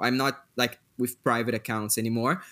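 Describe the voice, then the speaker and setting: Recorded very cleanly against a silent background, a man speaks in a Portuguese accent with a bright, sharp tone. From Brazil. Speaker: podcast host. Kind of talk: casual chat.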